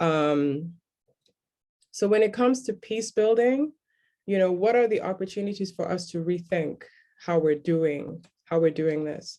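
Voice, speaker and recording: A woman with a dark, mellow tone and medium pitch speaks at a fairly slow pace with lively intonation, leaving long, frequent pauses. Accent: South Sudanese. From South Sudan. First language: Dinka. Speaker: human rights lawyer and conference speaker. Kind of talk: conference talk.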